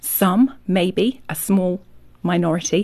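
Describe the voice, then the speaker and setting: A woman speaks with a Yorkshire accent at a medium pitch. Her voice is somewhat breathy. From Yorkshire, England. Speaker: author. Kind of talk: radio interview.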